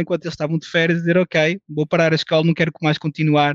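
A high-pitched male voice, dry and close with no echo, over a quiet background. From France, Portuguese parents. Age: 40s. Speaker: tech company CEO. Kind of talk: interview.

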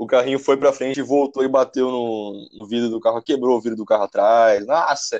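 A man's medium-pitched voice at a fairly quick pace, with fairly even intonation and a dry, close sound with no echo. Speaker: former student. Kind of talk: casual chat. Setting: call via app.

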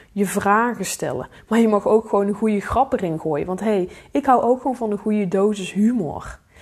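A woman's normal speaking voice at medium pitch, with ordinary pitch variation and hardly any pauses. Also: moderate pace. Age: 20s. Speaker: life coach. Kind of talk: solo podcast monologue.

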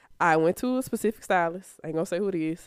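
The sound is dry and close with no echo as a woman talks at a very fast pace. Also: very clean recording, silent background. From Birmingham, Alabama. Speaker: co-host and social work student. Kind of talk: casual chat.

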